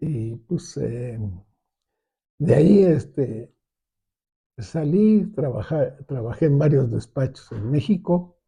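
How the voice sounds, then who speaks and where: At a very slow pace, a man with a fairly high pitch and a dark, mellow tone speaks in a somewhat breathy voice. His intonation is lively, and he takes long, frequent pauses. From Mexico City. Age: 80s+. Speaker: architect. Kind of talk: interview. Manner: halting, many fillers and restarts.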